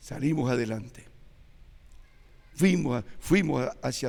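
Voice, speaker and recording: In a room with audible echo, a man talks at a fairly slow pace and medium pitch, his pitch varying in an ordinary way. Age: 80s+. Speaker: church elder preacher. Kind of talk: sermon.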